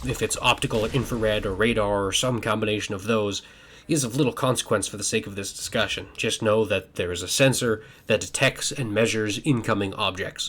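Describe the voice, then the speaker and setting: Fairly quick, ordinary pitch variation in a plain, everyday voice, on a very clean recording with a silent background. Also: man. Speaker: science fiction author and video creator. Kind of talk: educational talk while playing a video game.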